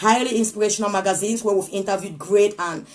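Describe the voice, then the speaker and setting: A woman speaks with a medium pitch. Her pace is very fast. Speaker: motivational speaker. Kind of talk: live inspirational talk. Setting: live stream.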